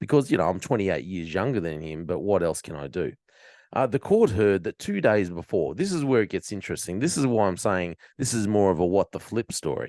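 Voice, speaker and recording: Someone with an Australian accent talks at a fairly quick pace with lively intonation. The sound is dry and close with no echo, and the background is quiet. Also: man, fairly low pitch for a man. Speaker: podcast host. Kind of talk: commentary on news story. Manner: casual, sarcastic.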